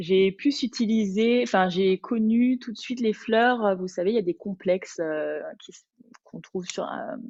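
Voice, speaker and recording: A woman's medium-pitched voice at a fairly slow pace, with big swings in loudness. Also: ordinary pitch variation. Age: 30s. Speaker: Bach flower consultant and Pilates teacher. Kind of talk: webinar presentation. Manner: hesitant, many fillers.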